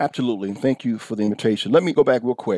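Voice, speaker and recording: Passionate and lively in intonation, a man at medium pitch speaks in a dark, mellow tone, the sound dry and close with no echo on a very clean recording with a silent background. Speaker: pastor. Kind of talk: interview conversation.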